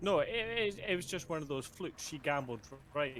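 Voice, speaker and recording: A man speaks in a Scottish accent. His intonation is lively. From Scotland. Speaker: nurse. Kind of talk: casual chat.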